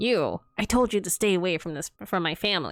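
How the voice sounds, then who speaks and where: A put-on character voice, female-sounding, at medium pitch and a fairly quick pace, in a very clean recording with a silent background. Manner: scolding, crazed.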